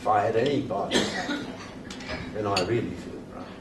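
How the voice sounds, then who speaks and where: Very wide pitch swings mark this voice with an RP accent, heard with audible room echo and noticeable background noise. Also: man. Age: 80s+. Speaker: retired classics teacher. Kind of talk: after-dinner speech. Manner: formal.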